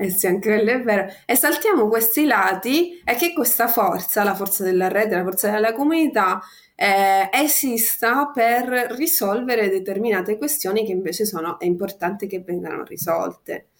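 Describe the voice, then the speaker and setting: A woman with an ordinary speaking voice and a fairly high pitch talks at a moderate pace in a very clean recording with a silent background. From Sicily. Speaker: activist. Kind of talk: casual chat.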